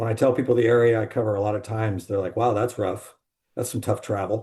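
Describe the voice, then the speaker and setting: A man with an American accent, medium in pitch, with a dark, mellow, somewhat breathy tone, very fast and monotone, over a quiet background. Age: 60s. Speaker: salesman in alcohol recovery. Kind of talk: podcast interview.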